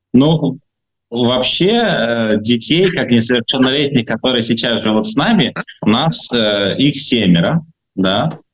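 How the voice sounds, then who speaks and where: With lively intonation and a medium pitch, a man talks at a very slow pace. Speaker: foster father. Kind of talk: interview. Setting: hospital, remote call. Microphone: noisy connection.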